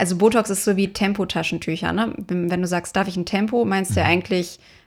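Here is a woman with a normal speaking voice at medium pitch and fairly even intonation. She keeps a moderate pace with hardly any pauses. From Dortmund, Ruhr area, Germany. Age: 20s. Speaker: dermatologist and startup founder. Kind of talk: casual interview.

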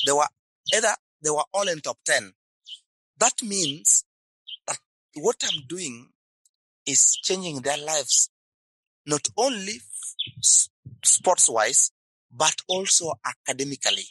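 Dry and close with no echo, a man speaks at a very slow pace, leaving long, frequent pauses. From Kenya, rural upcountry. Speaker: sports academy founder. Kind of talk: interview.

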